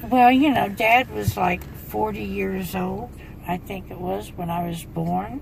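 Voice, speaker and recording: The woman talks at a fairly slow pace. Room echo is audible, and background noise is noticeable. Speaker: grandmother being interviewed. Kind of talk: casual chat.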